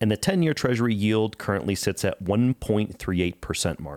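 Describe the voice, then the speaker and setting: Recorded with a dry, close sound and no echo, a plain, everyday voice speaks at a moderate pace. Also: man. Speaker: podcast co-host, financial advisor. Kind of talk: financial news discussion podcast.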